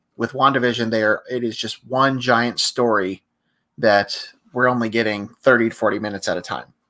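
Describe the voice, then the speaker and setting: The tone is bright and sharp. Delivery comes at a fairly quick pace with fairly even intonation. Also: man, medium pitch for a man. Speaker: podcast guest. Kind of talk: casual chat. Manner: halting.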